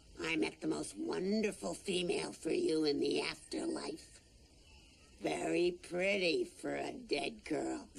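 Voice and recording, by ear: A raspy, cartoonish character voice moves at a fairly slow pace. Light background noise can be heard behind it.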